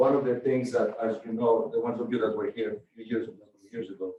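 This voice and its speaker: A man with an American accent speaks at a moderate pace in a medium-pitched voice. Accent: foreign accent (joked as Rhode Island accent). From from another country, not US. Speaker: university president. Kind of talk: Q&A with student senate. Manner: halting, many repetitions and fillers.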